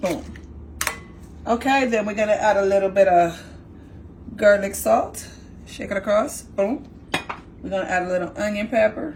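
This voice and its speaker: Noticeable background noise surrounds a woman with a New York accent speaking at medium pitch in an animated tone, with long, frequent pauses. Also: ordinary pitch variation, moderate pace. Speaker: home cook. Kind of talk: cooking tutorial.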